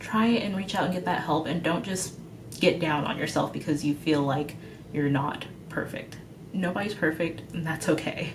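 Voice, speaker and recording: This woman's fairly low pitch carries ordinary pitch variation, with noticeable background noise and audible room echo around her. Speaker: veterinary student. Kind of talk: advice vlog. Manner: fast; casual, with fillers.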